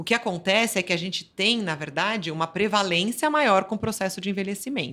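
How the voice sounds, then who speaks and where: Against a silent background in a very clean recording, a woman speaks at a moderate pace and a medium pitch with lively intonation. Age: 50s. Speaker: physiotherapist. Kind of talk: interview. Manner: halting, with repetitions.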